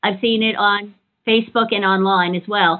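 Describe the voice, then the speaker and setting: A woman with an American accent talks at a moderate pace in a plain, everyday voice. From New York. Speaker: podcast host. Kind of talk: interview.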